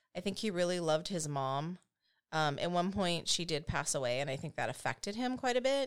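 A woman with an unremarkable speaking voice and an American accent talks at a fairly quick pace, her fairly low pitch carried by lively intonation in a very clean recording with a silent background. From United States. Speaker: true crime podcast co-host. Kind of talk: casual storytelling.

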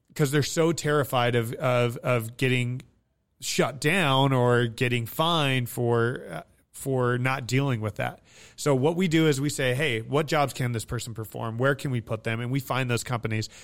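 An ordinary speaking voice from a man with an American accent, medium pitch and ordinary pitch variation at a moderate pace, on a very clean recording with a silent background. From Nevada, US. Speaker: military veteran and staffing agency CEO. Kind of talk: interview.

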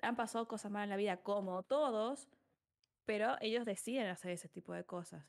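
A woman speaks in a plain, everyday voice at medium pitch, with ordinary pitch variation and a moderate pace. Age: 20s. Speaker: psychologist and streamer. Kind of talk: casual interview.

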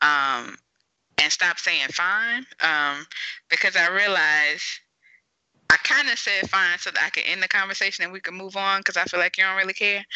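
A woman with an American accent speaks at a moderate pace in a medium pitch, with ordinary pitch variation and an ordinary speaking voice. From US South. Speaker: podcast host and mental health therapist. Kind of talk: interview podcast conversation.

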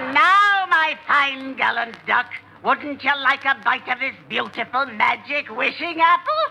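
A put-on character voice, high in pitch, delivers the lines at a fairly slow pace. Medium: old radio play. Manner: brash, impulsive.

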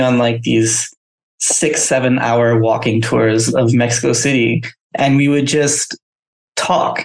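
Speech comes at a very slow pace with fairly even intonation. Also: man. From Southeast Asia (Myanmar, Thailand, Singapore). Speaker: creative agency founder. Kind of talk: interview.

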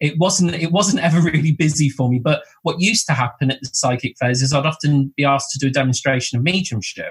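Talking at a very fast pace with hardly any pauses, a man with a southern English accent uses a fairly high pitch, ordinary pitch variation, and a somewhat breathy sound. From southern England, Bournemouth. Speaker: medium and spiritual teacher. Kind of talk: casual interview chat.

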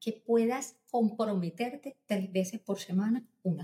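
A woman's fairly high, somewhat breathy voice with a dark, mellow tone and a fairly slow pace. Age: 40s. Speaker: pediatrician. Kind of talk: interview.

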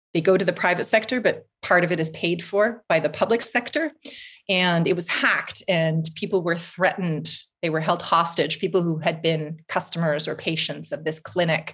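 A woman with a Canadian accent and a plain, everyday voice, fairly low in pitch, with fairly even intonation at a moderate pace. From Canada, Vancouver. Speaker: writer and journalist. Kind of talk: interview conversation. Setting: remote call from Finland.

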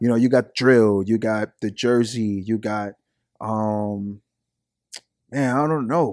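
In a New York accent, the speaker goes very slowly with long, frequent pauses and fairly even intonation, in a dry, close sound with no echo. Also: man, medium pitch for a man. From Brooklyn, New York. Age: 20s. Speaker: rapper. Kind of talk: casual chat.

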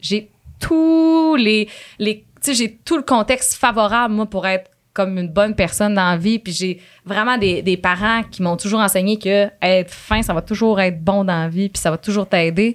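A woman speaks with a normal speaking voice at a medium pitch and a fairly slow pace. Her pitch varies in an ordinary way, and the recording is very clean with a silent background. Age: 20s. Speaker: radio host. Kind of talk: casual chat. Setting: studio.

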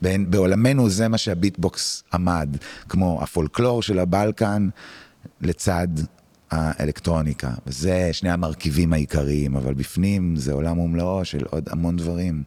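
Very deep and low in pitch, a man's dark, mellow voice moves at a fairly slow pace with ordinary pitch variation. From Israel, Tel Aviv. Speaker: music producer and musician. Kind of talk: interview conversation. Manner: halting.

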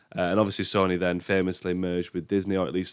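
Very fast speech from a man, with a quiet background. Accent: British. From UK. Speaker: film podcast host. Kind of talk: solo podcast monologue. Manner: casual, hesitant with fillers.

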